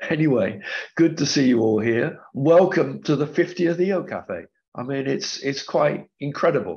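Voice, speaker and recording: Lively intonation and vocal fry run through speech at a moderate pace. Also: man, fairly high pitch for a man. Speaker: webinar host. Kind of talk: online panel introduction. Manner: hesitant, with fillers.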